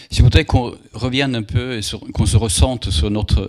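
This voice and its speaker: On a very clean recording with a silent background, a man with a Swedish accent speaks with ordinary pitch variation. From Sweden. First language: Swedish (speaking French). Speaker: moderator. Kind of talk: public talk Q&A.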